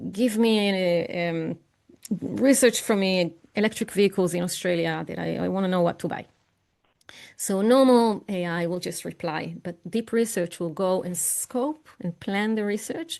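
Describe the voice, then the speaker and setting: A woman speaks in an ordinary speaking voice at medium pitch, with ordinary pitch variation. Her pace is moderate, and the background is quiet. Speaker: AI expert and keynote speaker. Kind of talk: online presentation with live software demo.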